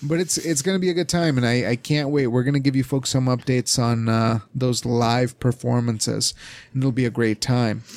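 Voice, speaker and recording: On a very clean recording with a silent background, a man with a normal speaking voice and a medium pitch talks at a fairly quick pace with ordinary pitch variation. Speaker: podcast host. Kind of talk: casual chat.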